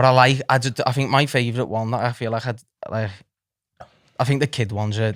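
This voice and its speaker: A man's medium-pitched voice with a Liverpool accent, very fast and monotone with flat intonation, in a dry, close sound with no echo. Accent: Scouse. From Liverpool area, England (moved from Nottingham at three). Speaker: comedian and social media content creator. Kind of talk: casual chat.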